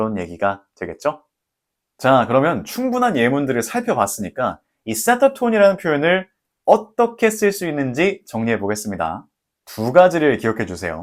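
Speech moves at a moderate pace. Pitch swings very widely over a silent background in a very clean recording. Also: man, medium pitch for a man. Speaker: English teaching YouTuber. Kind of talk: tutorial. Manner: calm, friendly.

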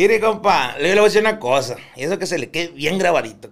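Vocal fry runs through this man's speech. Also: quiet background. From Colombia (Barranquilla); Colombia. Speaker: clinical psychologist, former prison psychologist. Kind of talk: casual chat. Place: studio. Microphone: studio mic.

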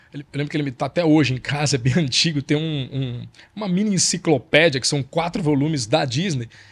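A man's fairly high-pitched, somewhat breathy voice comes at a fairly quick pace, with ordinary pitch variation. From Brazil. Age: 50s. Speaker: journalist and author. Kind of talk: casual chat.

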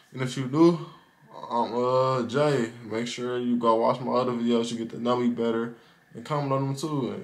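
His intonation stays fairly even. The man's pace is moderate. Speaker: vlogger. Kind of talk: casual storytime vlog chat. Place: home room. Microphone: phone near.

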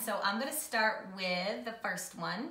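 A woman speaks over light background noise. Audible room echo surrounds her voice. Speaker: wine tasting vlogger. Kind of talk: casual vlog chat. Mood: cheerful, relaxed. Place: home room. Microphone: camera far.

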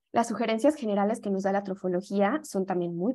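Her voice is a normal speaking voice, as a woman talks at a fairly quick pace and medium pitch. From Mexico. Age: young. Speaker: yoga teacher and holistic health advisor. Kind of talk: lecture. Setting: video call.

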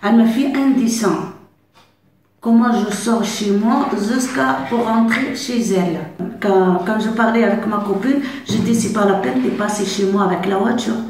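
A woman speaks at a fairly slow pace with a fairly high pitch and ordinary pitch variation, with audible room echo and light background noise. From Algeria. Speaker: migrant learning French. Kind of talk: testimony. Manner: halting, with repetitions and hesitations. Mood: warm, proud. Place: classroom. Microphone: camera far.

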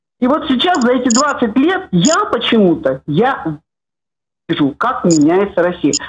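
At a fairly slow pace, a woman speaks with a high pitch, very wide pitch swings and very even loudness. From Latvia. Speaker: caller. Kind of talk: call-in comment. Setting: phone call.

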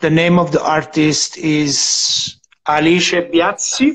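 A man speaks with an Italian accent and a high pitch. His pitch varies an ordinary amount over a quiet background. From Italy. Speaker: digital artist; interviewee. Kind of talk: live-streamed interview. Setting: Instagram live video call. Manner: halting.

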